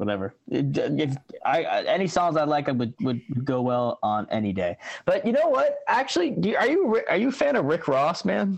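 A man talks at a moderate pace. His loudness stays very even. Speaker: musician. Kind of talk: casual chat. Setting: video call.

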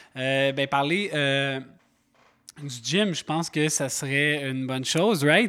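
Speaking very slowly with long, frequent pauses, a man has a Quebec accent. His voice is fairly high, with a bright, sharp tone. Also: ordinary pitch variation, very clean recording, silent background. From Quebec, Montreal. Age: 30s. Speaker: podcast host and gym owner. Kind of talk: casual chat.

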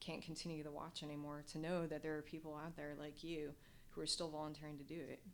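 A woman's very deep, low voice with an American accent, at a fairly quick pace, amid audible room echo. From US Midwest, Nebraska. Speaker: former military pilot and doctoral student. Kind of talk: interview. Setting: in-person interview.

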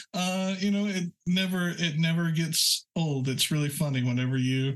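An ordinary speaking voice belongs to a man with an American accent and a fairly high pitch. He talks at a moderate pace with ordinary pitch variation and very even loudness. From rural Oklahoma. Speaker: web developer and architect. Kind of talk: casual interview chat.

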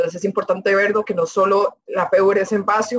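A woman talks fairly quickly with a fairly high pitch. Her voice is somewhat breathy, with ordinary pitch variation. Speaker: student representative. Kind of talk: interview.

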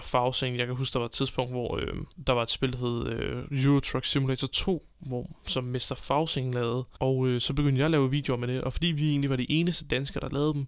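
At a moderate pace, a man with a medium pitch speaks using fairly even intonation. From Denmark, Copenhagen. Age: 20s. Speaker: podcast host. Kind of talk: unscripted solo monologue. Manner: hesitant, many filler sounds.

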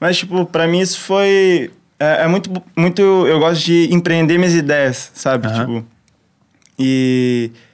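A high-pitched man at a fairly slow pace, very even loudness and ordinary pitch variation, with long, frequent pauses. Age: 20s. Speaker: pro surfer and musician. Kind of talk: casual chat.

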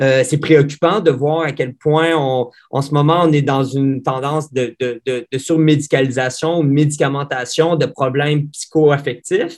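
Fairly high in pitch, a man speaks in a monotone, flat way at a fairly slow pace. He leaves hardly any pauses. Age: 30s. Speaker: pediatrician. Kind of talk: interview. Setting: video call. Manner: halting, many repetitions.

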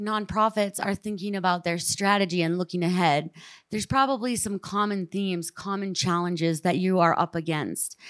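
An ordinary speaking voice with ordinary pitch variation goes at a moderate pace with hardly any pauses, in a dry, close sound with no echo and a very clean recording with a silent background. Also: woman. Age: 30s. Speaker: ski mountaineer and activist. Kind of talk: panel discussion. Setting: stage with audience.

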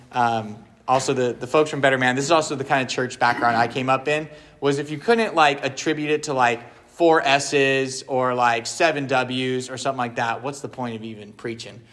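Speaking at a fairly quick pace, a man uses an ordinary speaking voice with a medium pitch and fairly even intonation. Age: 30s. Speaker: pastor leading a men's ministry session. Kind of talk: talk to a men's group. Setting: live room with audience and slides. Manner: casual with many fillers.

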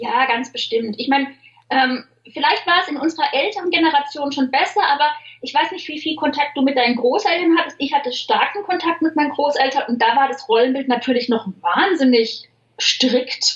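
A squeaky, high-pitched woman's voice with lively intonation. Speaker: humor author and social media writer. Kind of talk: interview conversation. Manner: fast.

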